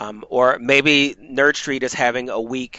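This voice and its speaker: The pitch is medium for a man. He is the one talking. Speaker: university esports program leader running a meeting. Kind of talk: meeting presentation. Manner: fast.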